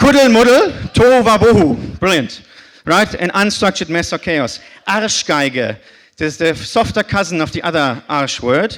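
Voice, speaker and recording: A man with a high voice and a German accent, his pitch swinging very widely. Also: moderate pace. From northern Germany (Bremen). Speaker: conference speaker. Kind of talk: short talk to audience.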